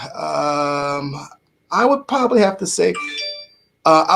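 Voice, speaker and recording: Music plays in the background as a man with an American accent speaks. His pitch is fairly high and his intonation lively. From New York (Bronx). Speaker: radio host and motivational speaker. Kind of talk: casual podcast interview.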